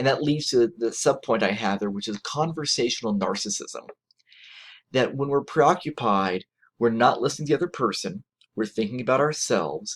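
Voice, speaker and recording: A man speaks at a medium pitch with lively intonation in a very clean recording with a silent background. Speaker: college lecturer. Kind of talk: lecture. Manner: fast; animated.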